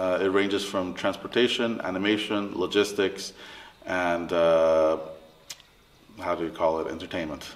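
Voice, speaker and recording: Noticeable background noise sits under a man's very deep, low voice. He talks at a fairly slow pace with fairly even intonation. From Latin America, mixed international upbringing. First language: Spanish. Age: 30s. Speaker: interviewee, family business worker. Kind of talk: interview. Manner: halting.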